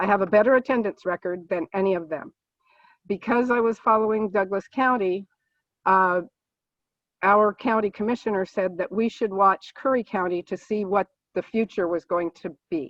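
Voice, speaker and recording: With a plain, everyday voice, a woman at medium pitch speaks at a moderate pace with ordinary pitch variation. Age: 60s. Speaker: political candidate, nurse. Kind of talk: candidate forum opening statement. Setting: video call.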